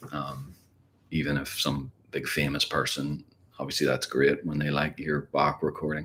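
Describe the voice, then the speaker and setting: A man speaks at a moderate pace in a very deep, low pitch, with a bright, sharp tone and vocal fry. His intonation is monotone and flat. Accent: Northern Irish. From Ireland. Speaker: guitar teacher. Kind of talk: live stream Q&A. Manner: casual, rambling.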